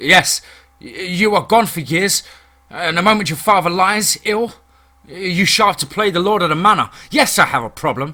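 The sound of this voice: A man puts on a character voice, high-pitched with a bright, sharp tone. He speaks at a moderate pace with lively intonation.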